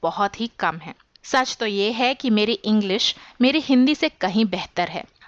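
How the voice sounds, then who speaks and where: A woman's voice, fairly high in pitch. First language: English (more comfortable than Hindi) (speaking Hindi). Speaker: YouTube tutorial creator, digital marketing specialist. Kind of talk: podcast monologue. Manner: formal, structured explanation.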